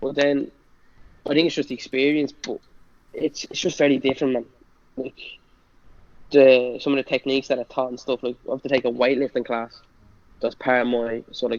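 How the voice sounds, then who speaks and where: Speaking with a strong Irish accent, the voice moves at a fairly quick pace in a monotone, flat way, broken by long, frequent pauses. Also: man, medium pitch for a man. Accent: thick Irish. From Ireland (Bray, County Wicklow). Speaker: college football player. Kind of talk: casual chat. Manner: fast; stutters when nervous.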